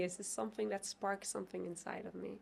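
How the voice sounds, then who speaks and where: With lively intonation, a woman speaks in a non-native accent. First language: not English. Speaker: tantra teacher. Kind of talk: interview.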